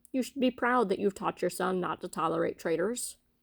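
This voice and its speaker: A woman puts on a gruff character voice at a medium pitch and a fairly quick pace. The recording is very clean and dry, close with no echo and a silent background. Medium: read story. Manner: gruff, blustering.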